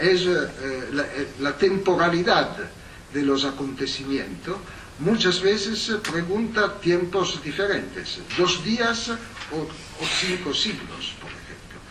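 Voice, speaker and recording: In an Italian accent, a man with a high pitch speaks at a very slow pace over noticeable background noise. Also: ordinary pitch variation, big swings in loudness. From Italy. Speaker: historian, professor. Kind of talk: academic lecture. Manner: hesitant, many fillers.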